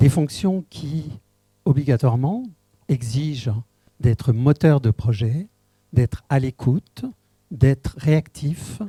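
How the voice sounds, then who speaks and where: Very slow and marked by long, frequent pauses, a man speaks with a fairly high pitch, ordinary pitch variation and a dark, mellow, somewhat breathy tone in a dry, close sound with no echo. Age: 70s. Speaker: municipal election candidate, retired school head. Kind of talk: public meeting self-introduction. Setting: public meeting. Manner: formal.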